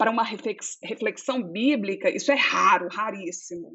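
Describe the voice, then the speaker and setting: A woman's fairly high voice in a mineiro accent. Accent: mineiro Brazilian. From Minas Gerais, Belo Horizonte. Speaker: theologian. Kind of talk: interview conversation.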